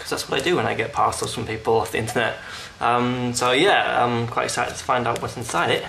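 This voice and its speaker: Against noticeable background noise, a man talks very fast at a medium pitch with ordinary pitch variation. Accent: British. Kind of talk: casual unboxing talk to camera.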